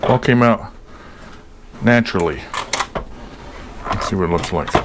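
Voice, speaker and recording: The speech moves at a moderate pace. Noticeable noise sits in the background. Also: man. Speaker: home cooking video host. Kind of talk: casual cooking tutorial. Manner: casual, chatty; mumbling.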